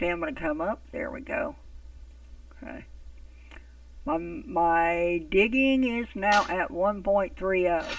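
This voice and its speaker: A woman speaks at a medium pitch and a very slow pace, leaving long, frequent pauses. Her pitch swings very widely, and her loudness rises and falls sharply. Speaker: gaming YouTuber. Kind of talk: casual gameplay commentary.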